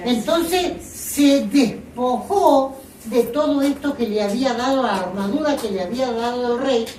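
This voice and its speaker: Speech at a fairly slow pace with ordinary pitch variation is heard through audible room echo and noticeable background noise. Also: woman, high pitch for a woman. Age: 70s. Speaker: lay preacher. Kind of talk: sermon.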